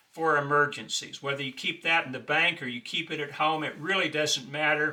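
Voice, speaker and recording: A man's fairly high voice moves at a moderate pace against noticeable background noise. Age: 60s. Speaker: financial advice video host. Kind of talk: monologue tutorial on budgeting. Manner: conversational, with filler uh.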